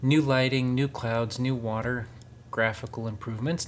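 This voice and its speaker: A man talks at a fairly quick pace in an American accent. His voice is somewhat breathy, with fairly even intonation. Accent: very American, kind of Midwestern. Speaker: gaming YouTuber. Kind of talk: gameplay commentary. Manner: enunciates carefully for voice recognition.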